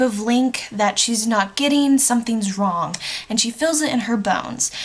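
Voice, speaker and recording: A woman's high-pitched voice with lively intonation, at a moderate pace amid noticeable background noise. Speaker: book vlogger. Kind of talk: casual vlog review.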